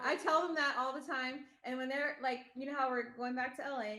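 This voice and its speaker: Speaking at a fairly quick pace with a raised, projected voice, a woman with an American accent uses a high pitch and ordinary pitch variation amid audible room echo. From US West Coast, Los Angeles (Northridge). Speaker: mother in a family of online video creators. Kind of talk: podcast interview, casual chat.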